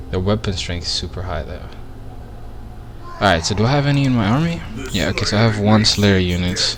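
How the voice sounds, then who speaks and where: Against noticeable background noise and audible room echo, a man speaks fairly quickly at a fairly low pitch with lively intonation, leaving long, frequent pauses. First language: not English. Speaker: gaming streamer. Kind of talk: live gameplay commentary. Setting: live stream. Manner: casual, halting with fillers.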